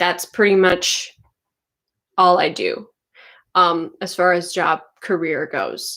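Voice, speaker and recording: A woman speaks at a very slow pace in a fairly low pitch, her intonation fairly even, with long, frequent pauses. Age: 20s. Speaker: author and writing coach on a video channel. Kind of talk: casual livestream chat. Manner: casual, filler-heavy.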